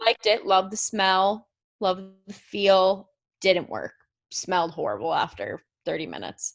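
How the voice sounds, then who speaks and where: Speaking at a moderate pace with long, frequent pauses, a woman talks with an American accent. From United States. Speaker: podcast co-host. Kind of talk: casual chat.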